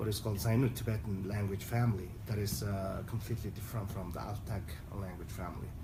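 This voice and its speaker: With audible room echo, a speaker in a Mongolian accent talks at a very fast pace with fairly even intonation. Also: man, fairly low pitch for a man. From Southern Mongolia (Inner Mongolia, China). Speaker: human rights advocate. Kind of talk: conference speech. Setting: UN forum side event in Geneva. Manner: halting, frequent fillers and restarts.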